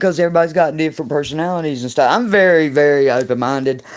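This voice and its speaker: Against a quiet background, a woman with a very deep, low voice speaks with lively intonation. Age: 60s. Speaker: paranormal livestream host, psychic reader. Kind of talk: livestream monologue. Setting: livestream. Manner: aggressive tone.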